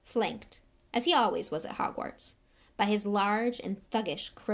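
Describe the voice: The speaker does plain reading aloud. Intonation stays fairly even.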